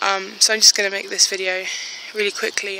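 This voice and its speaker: The speech moves at a fairly quick pace in a monotone, flat intonation. The sound is dry with no echo, with light background noise. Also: woman. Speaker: plus size fashion blogger. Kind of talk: casual vlog talk to phone camera. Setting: outdoors. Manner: hesitant, tongue-tied. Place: street. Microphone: phone near.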